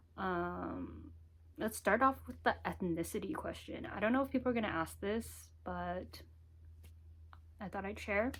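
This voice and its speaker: The speech moves at a fairly slow pace with long, frequent pauses. The recording is very clean, with a silent background. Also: woman. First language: Mandarin Chinese. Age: 20s. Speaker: vlogger. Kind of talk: casual talk to camera. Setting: home office.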